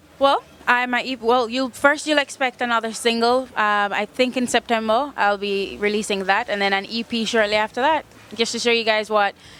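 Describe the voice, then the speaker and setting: A woman speaks at a fairly high pitch with fairly even intonation. Noticeable background noise runs underneath. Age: 20s. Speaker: singer-songwriter. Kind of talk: interview. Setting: music festival. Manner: fast.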